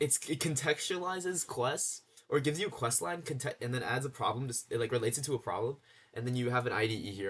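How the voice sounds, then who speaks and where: A man is talking. His pace is very fast. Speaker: coding and game dev YouTuber. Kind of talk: casual screen-share demo. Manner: halting, many fillers and restarts.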